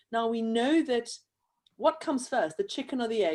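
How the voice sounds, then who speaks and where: Over a silent background in a very clean recording, a woman with a South African accent speaks in a dark, mellow tone with ordinary pitch variation. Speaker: event host, handwriting educator. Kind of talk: interview conversation.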